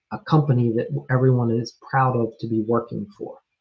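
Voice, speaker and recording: A man speaks in a monotone, flat intonation. His voice is somewhat breathy and his pace fairly slow. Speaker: remodeling business coach. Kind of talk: live stream coaching talk. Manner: casual, with fillers.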